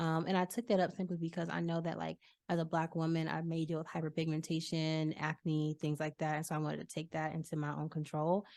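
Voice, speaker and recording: A woman with an American accent at a very deep, low pitch, talking at a very fast pace with hardly any pauses, in a very clean recording with a silent background. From Virginia. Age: 20s. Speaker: singer and rapper. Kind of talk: interview. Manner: casual, animated.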